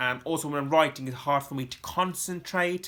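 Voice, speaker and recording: With a bright, sharp tone and fairly even intonation, a man speaks in a very clean recording with a silent background. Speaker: vlogger with chronic illness. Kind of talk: personal vlog talking to camera. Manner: halting with frequent fillers.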